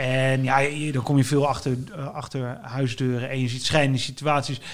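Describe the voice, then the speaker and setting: This man's pitch sits fairly high, and his pace is fairly quick. His intonation is monotone and flat. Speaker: writer. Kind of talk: casual interview. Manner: halting.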